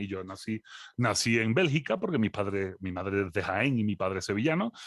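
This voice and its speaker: Speaking at a fairly quick pace with lively intonation, a man with a medium pitch sounds dry and close with no echo against a quiet background. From Andalusia, Spain (Seville). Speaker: philosopher and lecturer. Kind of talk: interview conversation.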